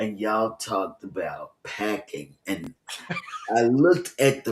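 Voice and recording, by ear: A man with a fairly low pitch speaks at a slow pace, his intonation lively.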